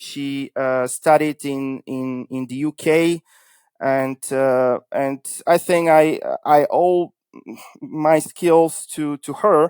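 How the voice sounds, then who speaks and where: A man with a Bulgarian accent talks at a very slow pace, his intonation fairly even but his loudness swinging widely. The recording is very clean with a silent background, and the sound is dry and close with no echo. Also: fairly high pitch for a man. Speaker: cybersecurity consultancy founder. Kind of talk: interview podcast.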